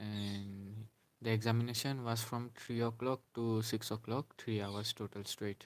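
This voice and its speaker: Speaking at a fairly slow pace, a man keeps a medium pitch. His intonation is flat and monotone. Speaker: bank exam candidate, vlogger. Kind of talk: casual vlog monologue. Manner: halting, with fillers.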